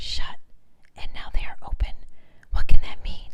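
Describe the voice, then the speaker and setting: A woman is whispering at a moderate pace. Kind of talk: audiobook reading. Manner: whispered.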